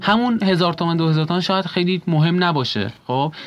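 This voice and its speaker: Music plays in the background. A man speaks at a very fast pace. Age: 20s. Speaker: architecture graduate student. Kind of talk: interview.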